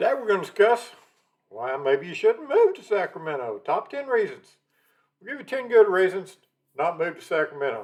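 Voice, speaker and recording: A man with a Texan accent, his loudness swinging widely. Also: moderate pace. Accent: Texan, noticeable. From Texas, Dallas. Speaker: realtor, channel host. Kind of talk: casual talk to camera.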